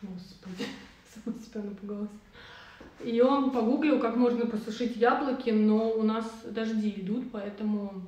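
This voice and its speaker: A woman with long, frequent pauses over noticeable background noise. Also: fairly high pitch for a woman, moderate pace. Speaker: podcast co-host. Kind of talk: casual live chat. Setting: video livestream. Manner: lively, informal.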